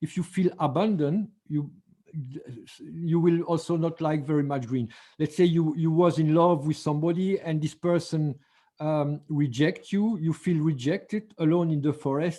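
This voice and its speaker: A man with a French accent talks at a moderate pace. His tone is dark and mellow, and his intonation fairly even. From France. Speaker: color therapy teacher. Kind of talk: online seminar lecture. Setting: video call. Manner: halting, with frequent fillers and restarts.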